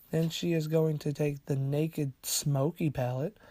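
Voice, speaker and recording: A man speaks in a playful tone at a moderate pace, his voice dark, mellow and somewhat breathy. The recording is very clean and dry, close-miked with no echo and a silent background. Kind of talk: casual humorous voiceover commentary on a makeup video. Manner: playful, unsure, joking.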